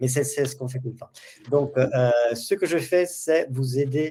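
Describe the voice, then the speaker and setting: A man's somewhat breathy, dark, mellow voice at a medium pitch, with ordinary pitch variation and a moderate pace. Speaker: customer training specialist, webinar host. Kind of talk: webinar tutorial.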